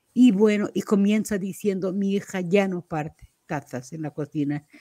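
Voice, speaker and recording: With a dark, mellow tone and a medium pitch, a woman speaks at a fairly slow pace, her loudness swinging widely in a dry, close sound with no echo. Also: ordinary pitch variation. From Portugal. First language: Portuguese (speaking Spanish). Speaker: poet. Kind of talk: interview. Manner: halting.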